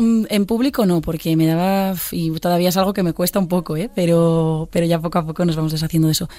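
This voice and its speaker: A woman's fairly low-pitched voice at a fairly quick pace, with very even loudness and fairly even intonation. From Galicia, Pontevedra. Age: 20s. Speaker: singer. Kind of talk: interview. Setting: studio. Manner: halting.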